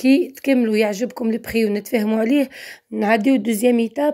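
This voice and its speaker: Her tone is dark and mellow, with a fairly high pitch. The woman keeps a moderate pace and fairly even intonation. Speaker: online fabric and dress seller. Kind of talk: casual vlog sales talk.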